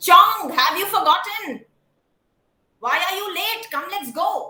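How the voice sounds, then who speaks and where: In a put-on character voice, a woman speaks gruffly at an extremely high pitch with very wide pitch swings and a fairly slow pace. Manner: impatient, commanding.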